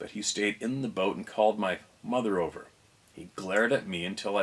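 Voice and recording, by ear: The clip is someone reading aloud in a natural voice.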